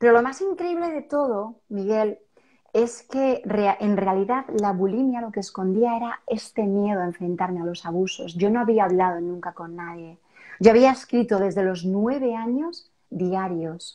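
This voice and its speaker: A woman's dark, mellow tone, with lively intonation and big swings in loudness. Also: medium pitch for a woman, fairly slow pace. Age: 40s. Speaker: self-help author. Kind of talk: interview testimony.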